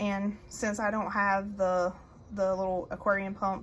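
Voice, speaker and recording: Medium pitch and a somewhat breathy quality from a woman. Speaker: gardening channel host. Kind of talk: casual tutorial. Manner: soft-spoken.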